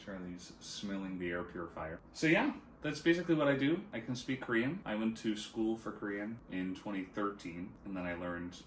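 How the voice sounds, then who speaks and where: A man with an American accent, fairly low in pitch, with ordinary pitch variation, a moderate pace and audible room echo. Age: 30s. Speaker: esports caster and streamer. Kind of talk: casual chat.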